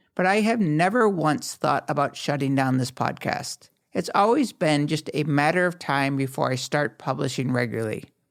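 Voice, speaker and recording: This man has an ordinary speaking voice with lively intonation, delivered at a moderate pace. The recording is very clean, with a silent background. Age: 50s. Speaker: podcast host. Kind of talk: podcast monologue.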